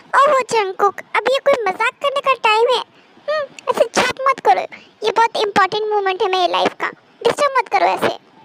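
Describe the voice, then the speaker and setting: This woman uses a put-on character voice pitched extremely high. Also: moderate pace, dry, close sound with no echo. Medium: fan dub. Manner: confident.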